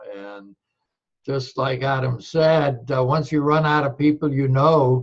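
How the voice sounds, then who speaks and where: Somewhat breathy, a man talks at a fairly high pitch. His pace is fairly slow and his intonation fairly even. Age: 80s+. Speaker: retiree in network marketing. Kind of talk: testimony. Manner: halting.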